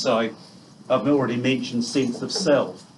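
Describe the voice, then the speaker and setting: Speaking in a New Zealand accent, a man holds a medium pitch and a moderate pace with ordinary pitch variation. Room echo is audible. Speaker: neuropsychiatrist giving a talk. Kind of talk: lecture. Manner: loud. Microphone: quiet at first, not using a microphone.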